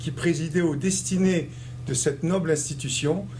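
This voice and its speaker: At a fairly slow pace, a man with fairly high pitch speaks with ordinary pitch variation amid audible room echo. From Algeria (Constantine). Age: 60s. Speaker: community leader and election candidate. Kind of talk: interview.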